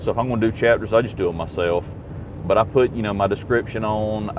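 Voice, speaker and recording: Against noticeable background noise, a man's fairly low voice keeps a fairly even intonation. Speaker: YouTube livestreamer. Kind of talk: casual live stream chat. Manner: loud.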